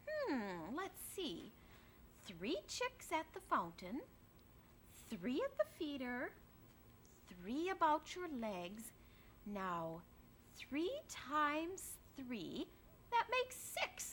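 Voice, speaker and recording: Clear background noise runs behind a woman doing a put-on character voice with high pitch. She moves at a very slow pace, with long, frequent pauses. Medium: read story. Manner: pompous, self-important.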